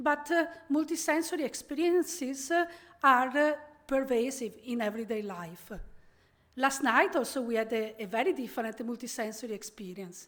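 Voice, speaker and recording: An Italian accent colors this woman's high-pitched voice and lively intonation. The recording is very clean, with a silent background. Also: moderate pace. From Italy, Venice. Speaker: professor. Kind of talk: keynote lecture. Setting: conference stage with audience.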